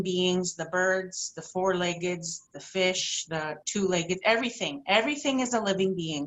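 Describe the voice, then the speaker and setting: Here is a woman with a normal speaking voice. Her pitch is medium and its variation ordinary. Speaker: intuitive healer. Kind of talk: workshop talk.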